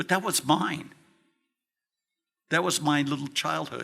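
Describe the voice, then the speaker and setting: The man's tone is bright and sharp, his pitch fairly high and his intonation fairly even. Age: 70s. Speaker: toy designer. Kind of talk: convention panel talk. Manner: emphatic, impassioned.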